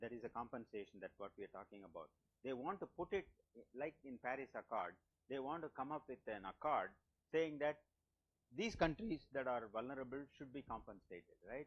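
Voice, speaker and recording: A man with a normal speaking voice, medium pitch, lively intonation and a fairly quick pace. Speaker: lecturer. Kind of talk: lecture.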